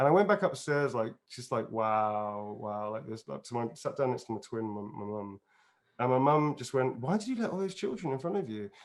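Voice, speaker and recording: Speaking with an English accent at a fairly quick pace, a man uses a medium pitch with very wide pitch swings. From England, outside London. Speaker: actor and voice performer. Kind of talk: casual interview chat. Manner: animated.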